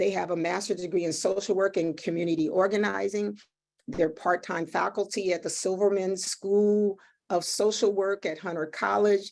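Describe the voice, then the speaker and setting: On a very clean recording with a silent background, a woman with a medium pitch talks in a monotone, flat intonation. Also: moderate pace. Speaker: webinar moderator. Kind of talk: panel introductions.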